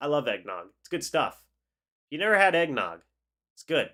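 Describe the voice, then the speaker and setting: A man's pitch varies in an ordinary way as he talks at a moderate speed. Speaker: sports YouTuber, fan channel host. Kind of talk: live stream chat reacting to comments. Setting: live stream. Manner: casual, chatty.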